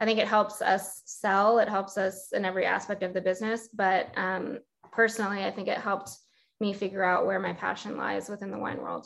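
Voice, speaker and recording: The speaker talks at a fairly quick pace with an American accent. The intonation is monotone and flat. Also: woman, medium pitch for a woman. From Pasadena, California. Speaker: sommelier and wine shop co-founder. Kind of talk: casual interview.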